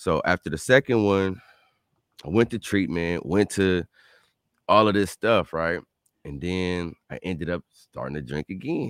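A man's very deep, low voice at a fairly slow pace, with ordinary pitch variation, big swings in loudness, and long, frequent pauses. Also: dry, close sound with no echo. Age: 30s. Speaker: motivational speaker and podcaster. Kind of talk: interview.

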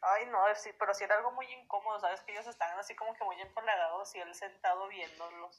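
A woman's medium-pitched voice at a very fast pace, with hardly any pauses, fairly even intonation and big swings in loudness. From Durango, Mexico. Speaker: stranger met on a voice chat app. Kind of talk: casual chat. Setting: app voice call.

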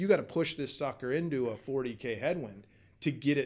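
A man with an ordinary speaking voice, medium pitch, ordinary pitch variation, a moderate pace and an American accent. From Southern California, US. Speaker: fishing guide and tackle shop worker. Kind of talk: casual interview.

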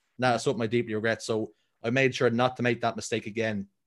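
Heard in a very clean recording with a silent background, the speaker has a Dublin accent and a monotone, flat intonation. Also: man. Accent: Dublin Irish. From Ireland, Dublin. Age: 30s. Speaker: esports caster. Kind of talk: casual chat.

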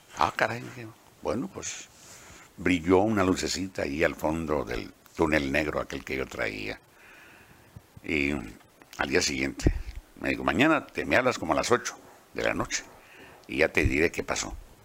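With lively intonation and long, frequent pauses, a man with a very deep, low voice speaks at a moderate pace. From Mexico, Baja California (Ensenada). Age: 80s+. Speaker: veteran radio announcer and journalist. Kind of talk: autobiographical interview.

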